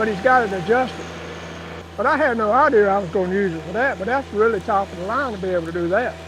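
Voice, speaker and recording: With a North Carolina accent, a high-pitched man talks at a very fast pace amid noticeable background noise and audible room echo. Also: ordinary pitch variation. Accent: Southern US (North Carolina). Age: 70s. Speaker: tractor owner. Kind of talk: casual chat.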